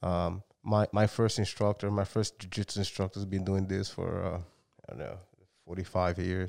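A man's fairly low, monotone voice with flat intonation at a moderate pace, dry and close with no echo, on a very clean recording with a silent background. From Brazil. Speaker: martial arts gym owner. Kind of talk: casual interview chat.

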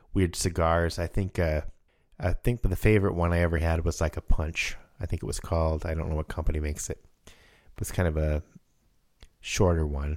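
At a moderate pace, a man speaks with a low pitch, little pitch movement and a slightly mellow tone.

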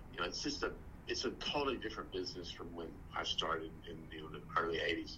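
Speaking at a very fast pace, a man talks with an American accent. The room echo is audible. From West Texas. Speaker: actor. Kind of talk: casual chat.

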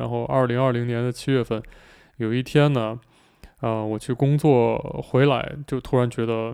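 Dark and mellow in tone, a man speaks at a fairly slow pace and medium pitch. His delivery is relaxed, with monotone, flat intonation. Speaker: airline pilot and YouTuber. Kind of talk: casual solo podcast chat. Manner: relaxed with many fillers.

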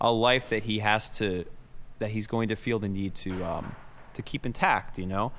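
A man talks at a moderate pace with fairly even intonation. His fairly low voice is an ordinary speaking voice. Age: 30s. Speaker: drummer and podcast host. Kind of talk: casual chat. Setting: on tour, remote recording.

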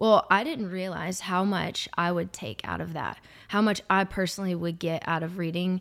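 In a very clean recording with a silent background, a woman with a normal speaking voice talks at a moderate pace, her medium pitch showing ordinary pitch variation. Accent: American. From Arkansas, then Georgia (US South). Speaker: salesperson and singer. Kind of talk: casual chat, faith testimony.

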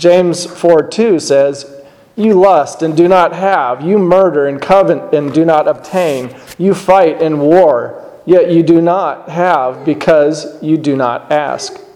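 Over noticeable background noise, a man talks very slowly in a high voice with ordinary pitch variation. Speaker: lay preacher. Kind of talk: sermon. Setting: church. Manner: formal; solemn.

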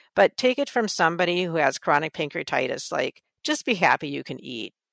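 A woman's medium-pitched voice in a dry, close sound with no echo, on a very clean recording with a silent background. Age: 60s. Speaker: energy healing practitioner. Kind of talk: interview.

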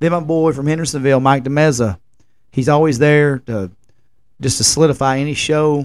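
Someone talks at a very fast pace with a Tennessee accent. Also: man. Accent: Southern US, rural Tennessee. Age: 30s. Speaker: podcast host and music festival promoter. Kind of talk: casual solo podcast monologue. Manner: rambling, informal.

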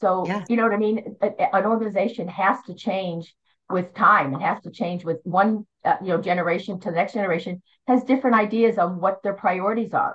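This woman has an ordinary speaking voice at a medium pitch, with ordinary pitch variation and a fairly quick pace. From Philadelphia area, US Northeast. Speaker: bodybuilding judge, retired nurse. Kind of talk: interview, casual conversation.

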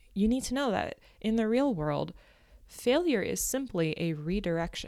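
In an unremarkable speaking voice, lively in intonation, the speaker goes at a moderate pace on a very clean recording with a silent background. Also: woman. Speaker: podcast host and life coach. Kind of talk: solo podcast monologue. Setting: home recording with construction noise nearby.

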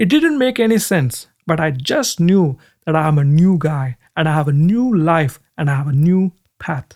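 At a moderate pace, a man speaks with lively intonation in a fairly high voice. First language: not English. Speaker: Bible teacher. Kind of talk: sermon.

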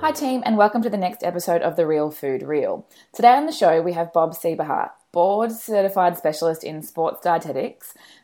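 A woman with an Australian accent speaks at a fairly quick pace in a dark, mellow tone. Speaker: podcast host and sports nutritionist. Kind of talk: interview.

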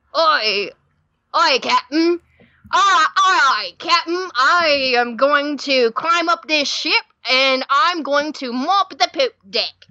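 Very slow pacing in a put-on character voice. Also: woman, high pitch for a woman. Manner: gruff, theatrical.

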